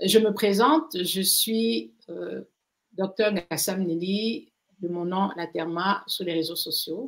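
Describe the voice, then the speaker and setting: A woman with a medium-pitched voice speaks at a very slow pace with lively intonation. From Cameroon. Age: 60s. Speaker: pharmacist and skincare activist. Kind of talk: interview. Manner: hesitant, many fillers.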